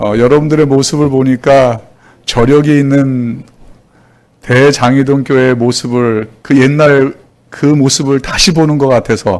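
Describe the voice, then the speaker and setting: A man talks at a fairly slow pace and medium pitch, with fairly even intonation. He leaves long, frequent pauses. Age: 60s. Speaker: pastor. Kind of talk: sermon. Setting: church.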